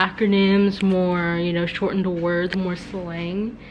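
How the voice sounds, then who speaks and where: The woman talks at a fairly slow pace. Noticeable background noise runs behind her. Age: young. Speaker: vlogger. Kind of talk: casual vlog.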